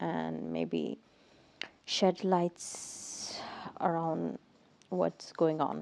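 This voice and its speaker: A woman speaks quietly. Her pace is very slow. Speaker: podcaster. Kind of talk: casual monologue. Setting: home at night. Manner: halting.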